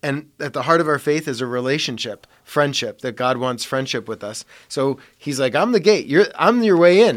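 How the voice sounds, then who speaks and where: A man with an unremarkable speaking voice and an American accent, pitched fairly high for a man. He talks at a moderate pace with lively intonation. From US Midwest (Parma, Ohio). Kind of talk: casual chat.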